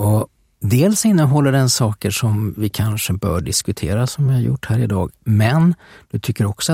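Recorded dry and close with no echo on a very clean track with a silent background, a man speaks at a moderate pace in a fairly low, dark, mellow, somewhat breathy voice, keeping his loudness very even while his intonation stays lively. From Sweden, Västervik. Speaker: podcast host. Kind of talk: casual conversation about history. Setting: studio.

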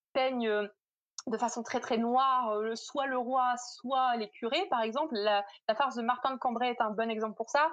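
A woman's high voice, moderately paced and ordinary in its pitch variation. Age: 20s. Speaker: literature PhD student. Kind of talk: interview.

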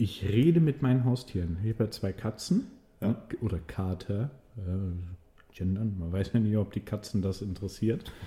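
A man with a fairly low pitch and a dark, mellow tone talks at a moderate pace, sounding somewhat breathy, his pitch varying in an ordinary way. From Swabia, Germany. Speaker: podcast co-host, restaurant server. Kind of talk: casual chat. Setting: studio, in person.

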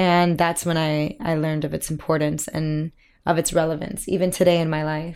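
A woman with a Miami accent speaks at a moderate pace in a very deep, low pitch and monotone, flat intonation. The recording is very clean, with a silent background. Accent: American (Miami). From Miami, Florida, US; Cuban American. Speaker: musical theatre actress. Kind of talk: casual interview chat. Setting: dressing room at a theatre.

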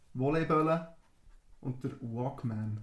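A man speaks in a somewhat breathy voice. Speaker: podcast host. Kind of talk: casual chat.

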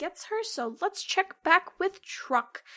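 This woman projects her voice loudly. The sound of it is bright and sharp. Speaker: game master. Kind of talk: tabletop roleplaying podcast, casual chat.

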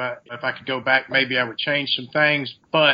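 At a moderate pace comes an unremarkable speaking voice. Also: man. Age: 30s. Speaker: fitness coach, recovering addict. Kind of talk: interview.

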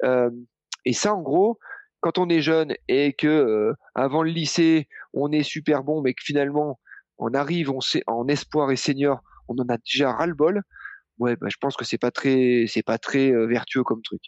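This man has a normal speaking voice, pitched fairly high. He talks at a fairly slow pace with ordinary pitch variation. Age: 40s. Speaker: running coach. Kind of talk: casual chat.

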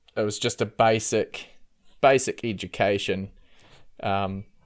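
Here is a man with a New Zealand accent and a fairly low pitch. His intonation is monotone and flat. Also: long, frequent pauses. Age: 30s. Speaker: former cult member. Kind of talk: interview testimony. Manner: hesitant, many fillers.

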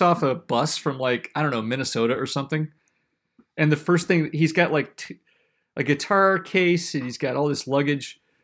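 A man with an American accent speaks in a plain, everyday voice, fairly high-pitched for a man, at a moderate pace with ordinary pitch variation, on a very clean recording with a silent background. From South Carolina. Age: 40s. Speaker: farmer and podcast host. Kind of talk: casual chat.

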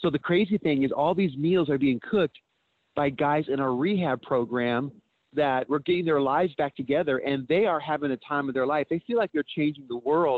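Speaking at a fairly quick pace, a man uses a fairly high pitch, ordinary pitch variation and very even loudness in a plain, everyday voice. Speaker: nonprofit co-founder. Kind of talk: recorded interview clip.

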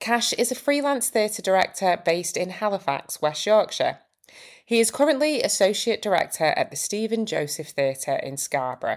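Vocal fry runs through this woman's fairly high voice as it makes very wide pitch swings at a moderate pace. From Manchester. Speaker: podcast host and script writer. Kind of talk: podcast interview; scripted intro and outro.

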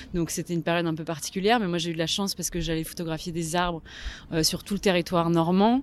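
A woman talks very fast at a fairly low pitch, keeping her intonation fairly even. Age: 30s. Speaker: photographer. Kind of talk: interview.

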